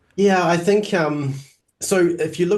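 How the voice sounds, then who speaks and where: Somewhat breathy, a man with a New Zealand accent talks at a moderate pace with ordinary pitch variation. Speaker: Greek teacher. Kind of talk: interview.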